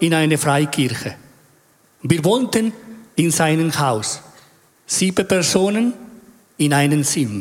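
A man with a Spanish accent talks at a fairly high pitch and a very slow pace, with long, frequent pauses. His intonation is lively while his loudness stays very even. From Chile. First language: Spanish (speaking German). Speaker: church member. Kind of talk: testimony.

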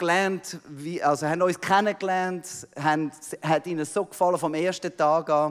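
A man speaks with a Swiss accent. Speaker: missionary pastor. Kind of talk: sermon. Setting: church.

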